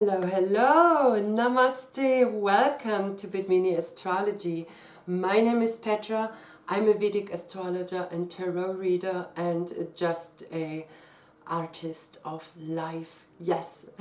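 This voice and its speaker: Someone with a non-native accent speaks at a very slow pace with ordinary pitch variation. Noticeable background noise is present. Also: woman, medium pitch for a woman. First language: not English. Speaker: astrologer and tarot reader. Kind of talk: casual explanatory talk to camera.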